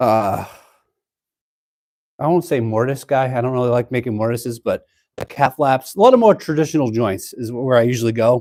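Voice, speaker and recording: In a Boston accent, the speaker talks at a moderate pace with ordinary pitch variation, in a dry, close sound with no echo. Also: man. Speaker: DIY woodworking YouTuber. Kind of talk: live-stream tutorial. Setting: cold home workshop. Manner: casual, chatty.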